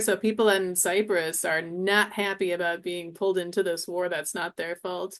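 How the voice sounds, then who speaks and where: A woman's voice over a quiet background. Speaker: Arabic instructor. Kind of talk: interview conversation. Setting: livestream with chat. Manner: fast.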